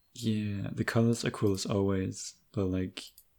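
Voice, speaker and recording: Very slowly, a man speaks in a dark, mellow tone at a fairly low pitch with fairly even intonation. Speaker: podcast host. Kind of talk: casual chat.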